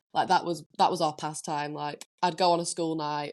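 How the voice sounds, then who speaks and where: A woman with a Lancashire accent at a moderate pace, her intonation fairly even, against a quiet background. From northern England, Preston, Lancashire. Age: 20s. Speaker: DJ and producer. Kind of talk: podcast interview.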